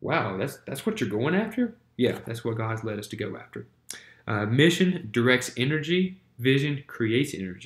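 A man talks with lively intonation in a somewhat breathy voice. Audible room echo surrounds him. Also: moderate pace. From US South, Winston-Salem, North Carolina; North Carolina. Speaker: church planter and ministry teacher; ministry teacher. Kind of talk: lecture. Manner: halting, many fillers. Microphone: webcam.

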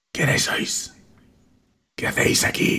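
A man puts on a raspy character voice.

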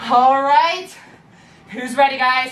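Audible room echo surrounds the voice, along with light background noise. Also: woman. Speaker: fitness instructor. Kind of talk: workout instruction. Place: home room.

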